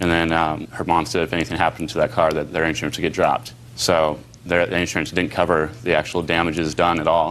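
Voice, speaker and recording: Over noticeable background noise, a man with an American accent speaks at a very fast pace. His pitch is very deep and low, and his intonation is fairly even. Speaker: defendant. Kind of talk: courtroom testimony. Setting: TV courtroom. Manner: fast-talking.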